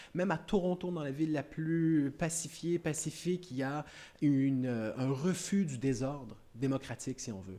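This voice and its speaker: A man speaks in a Canadian French accent with a dark, mellow tone and fairly high pitch. His pace is moderate and his pitch varies in an ordinary way. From Canada. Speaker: academic speaker. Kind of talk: panel discussion answer. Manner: halting, many repetitions.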